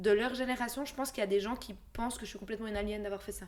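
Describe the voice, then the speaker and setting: An unremarkable speaking voice from a woman, fairly high in pitch, with ordinary pitch variation. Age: 20s. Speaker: podcast co-host. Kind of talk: casual chat.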